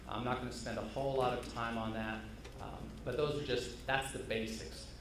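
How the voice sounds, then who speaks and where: A man speaks in a room with audible echo. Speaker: hop grower giving conference talk. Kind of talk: conference presentation.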